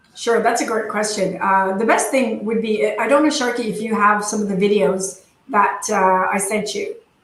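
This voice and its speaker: A woman speaks in a fairly high pitch with hardly any pauses. Audible room echo surrounds her voice. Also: ordinary pitch variation. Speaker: dental industry presenter. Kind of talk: webinar presentation and Q&A. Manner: fast.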